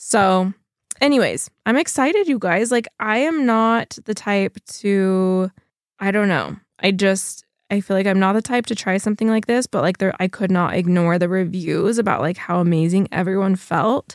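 In a very clean recording with a silent background and a dry, close sound with no echo, a woman speaks at a moderate pace with very even loudness, medium pitch and ordinary pitch variation. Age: 30s. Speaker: podcast host and fashion brand owner. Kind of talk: casual monologue. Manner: chatty, lots of fillers.

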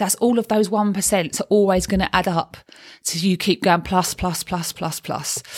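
With a Cockney accent, a woman talks at a fairly quick pace in a medium pitch and fairly even intonation. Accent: Cockney London. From London (East End). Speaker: life coach and podcast host. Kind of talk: solo podcast monologue. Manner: chatty, talkative.

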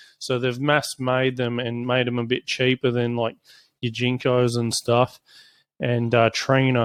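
With an Australian accent, the speaker talks at a fairly slow pace in a monotone, flat intonation, with a dry, close sound and no echo. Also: man, medium pitch for a man. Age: 30s. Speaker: solar company CEO. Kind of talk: product review. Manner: casual, hesitant with fillers.

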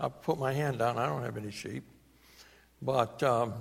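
A man with a New England accent speaks with vocal fry. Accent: New England American. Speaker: preacher. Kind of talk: sermon. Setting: church.

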